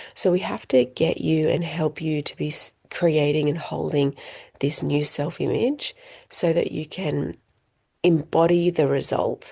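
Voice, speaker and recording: Over a quiet background, a woman is soft-spoken. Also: fairly slow pace. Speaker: coaching teacher. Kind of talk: online group coaching call.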